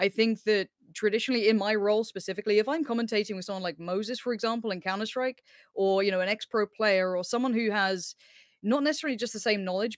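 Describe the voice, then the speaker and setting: Talking very fast at a medium pitch, a woman is recorded in a dry sound with no echo and a quiet background. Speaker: esports commentator. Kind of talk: casual panel discussion. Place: home room. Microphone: headset.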